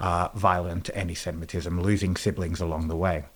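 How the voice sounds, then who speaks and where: At a moderate pace, a man speaks with an Australian accent. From Australia, Sydney. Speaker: educator and trainer. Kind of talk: interview conversation. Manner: hesitant, many fillers.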